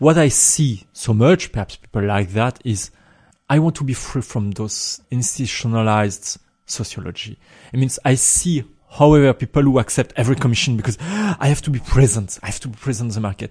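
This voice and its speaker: A man speaks at a fairly quick pace and a medium pitch, with lively intonation and a somewhat breathy voice. The recording is very clean, with a silent background. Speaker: composer. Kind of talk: interview conversation.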